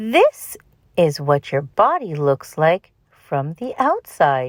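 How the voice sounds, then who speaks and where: Slipping into a put-on character voice, a woman with a fairly low pitch speaks at a very slow pace. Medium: read story. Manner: crisp, instructive.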